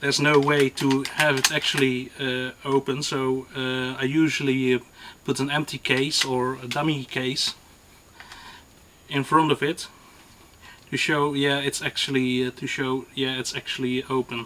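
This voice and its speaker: Over noticeable background noise, a man talks at a fairly slow pace in a medium pitch with monotone, flat intonation. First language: not English. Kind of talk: gun review to camera. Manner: hesitant, many fillers.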